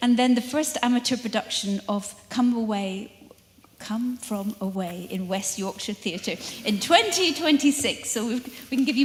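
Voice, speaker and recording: Lively in intonation and fairly high in pitch, a woman speaks over noticeable background noise. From northern England. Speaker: lecture series host. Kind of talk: formal introduction.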